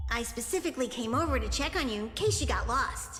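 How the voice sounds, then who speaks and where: A female-sounding voice does a put-on character voice at a very fast pace over clear background noise. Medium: game stream. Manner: calls itself in third person.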